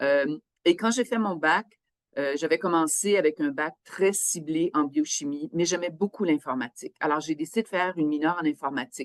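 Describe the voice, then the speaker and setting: A woman with a Quebec accent speaks at a moderate pace in a very deep, low pitch with ordinary pitch variation, the sound dry and close with no echo. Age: 60s. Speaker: biosafety officer, scientist. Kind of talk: interview testimony. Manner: hesitant, with fillers.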